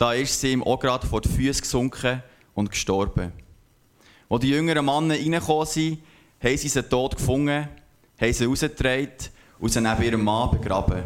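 A man with a Bernese accent speaks at a fairly quick pace with long, frequent pauses. His pitch is medium, with ordinary variation and very even loudness. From Switzerland, Aargau and Zurich. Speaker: scripture reader. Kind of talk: reading aloud.

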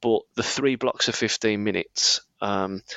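A man with a Birmingham accent. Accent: Birmingham (Brummie), noticeable. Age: 30s. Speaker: running coach. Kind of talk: casual chat, podcast.

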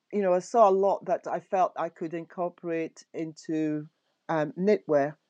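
Over a quiet background, a woman speaks with a dark, mellow tone, a fairly low pitch and ordinary pitch variation. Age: 60s. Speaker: knitwear designer. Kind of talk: casual chat. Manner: warm.

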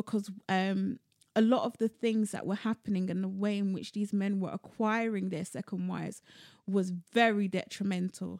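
A woman with a London accent, medium pitch, moderate pace and fairly even intonation. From London, of Sierra Leonean descent. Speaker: poet and cultural producer. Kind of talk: casual interview chat.

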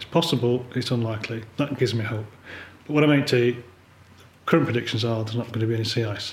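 With an English accent, a man at a medium pitch talks at a very fast pace with long, frequent pauses and fairly even intonation. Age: 50s. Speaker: polar photographer. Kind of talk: interview conversation. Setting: living room.

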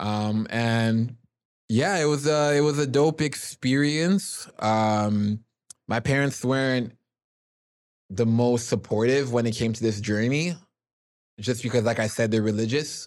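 At a fairly slow pace, a man speaks in a medium pitch with a slightly mellow tone and ordinary pitch variation.

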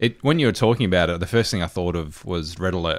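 A man with a very deep, low voice and an Australian accent talks fairly quickly in a very clean recording with a silent background. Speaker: gaming podcast co-host. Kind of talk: casual chat.

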